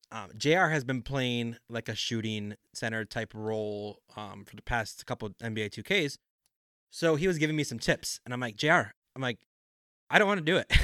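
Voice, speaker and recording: A man speaks at a moderate pace with a medium pitch and lively intonation. His tone is bright and sharp, and the sound is dry and close with no echo. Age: 30s. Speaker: podcast co-host. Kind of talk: casual chat.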